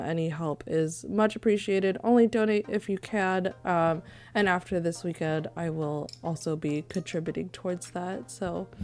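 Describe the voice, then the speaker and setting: Quietly, a woman talks at a moderate pace with a fairly low pitch and ordinary pitch variation. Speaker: streamer. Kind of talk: live-stream gaming chat.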